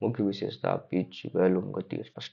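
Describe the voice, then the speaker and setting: A quiet, raspy put-on character voice from a man, fairly low in pitch, at a moderate pace. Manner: quiet, subdued.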